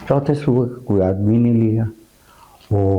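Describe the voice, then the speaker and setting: The speaker is a man. He talks at a medium pitch. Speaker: veteran radio broadcaster and producer being interviewed. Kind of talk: interview answer, storytelling about past radio work.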